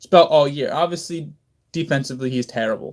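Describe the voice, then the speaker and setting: The recording is very clean and the background silent. In it, a man talks. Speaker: sports podcast host. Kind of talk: casual sports commentary. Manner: halting, many fillers.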